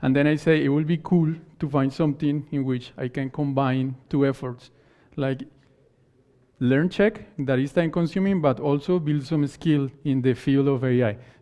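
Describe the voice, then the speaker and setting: A man with a Spanish accent speaks at a moderate pace in a fairly high voice, his intonation fairly even. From Colombia. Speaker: conference speaker. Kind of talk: conference talk. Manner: halting.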